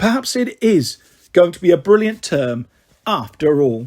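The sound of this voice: Big pitch swings from a man with a high pitch, a slightly mellow tone and a fairly slow pace.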